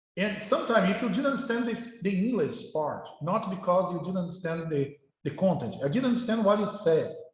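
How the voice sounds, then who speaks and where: A high-pitched man at a fairly quick pace with ordinary pitch variation, with audible room echo. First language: Portuguese. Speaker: university professor. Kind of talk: lecture. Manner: halting, with many repetitions.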